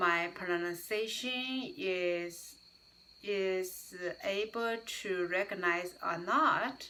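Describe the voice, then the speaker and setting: With a non-native accent, a woman talks very slowly at a medium pitch with ordinary pitch variation, and noticeable background noise can be heard. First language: not English. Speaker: YouTuber, English learner. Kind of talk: casual vlog talk. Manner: halting, many fillers.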